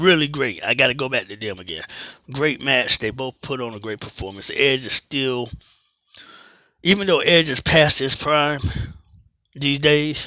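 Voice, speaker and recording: On a very clean recording with a silent background, a man speaks in a bright, sharp, fairly high voice with ordinary pitch variation. He keeps a moderate pace, with big swings in loudness and long, frequent pauses. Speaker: wrestling commentary vlogger. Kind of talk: casual monologue review. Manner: animated.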